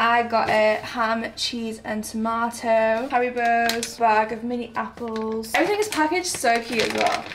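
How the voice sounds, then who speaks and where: There is noticeable background noise behind a woman with a fairly high pitch and fairly even intonation. She keeps a moderate pace with hardly any pauses. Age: 20s. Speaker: vlogger. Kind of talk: casual vlog talk to camera. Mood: cheerful, relaxed. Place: home room. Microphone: phone near.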